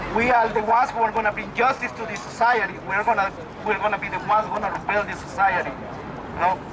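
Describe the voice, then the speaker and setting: A high-pitched man at a fairly quick pace with fairly even intonation, crowd noise in the background. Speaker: protest speaker. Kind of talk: rally speech. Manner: halting.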